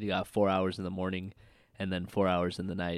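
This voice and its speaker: Here a man talks in a very deep, low voice with an American accent. His intonation is monotone and flat. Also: very clean recording, silent background. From Washington State, US. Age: 20s. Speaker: podcast host, navy sailor. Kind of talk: casual solo monologue. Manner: casual, hesitant.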